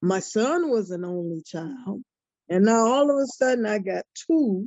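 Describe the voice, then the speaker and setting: A woman speaks very slowly at a fairly high pitch. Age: 70s. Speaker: grandparent kinship caregiver, retired teacher. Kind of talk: personal testimony in group video meeting. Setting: video call. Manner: halting, repetitive phrasing.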